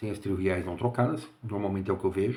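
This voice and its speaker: Here a man speaks quietly with a fairly low pitch and ordinary pitch variation. His pace is moderate. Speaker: engineer and security consultant. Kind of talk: casual monologue. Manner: quiet, speaking low.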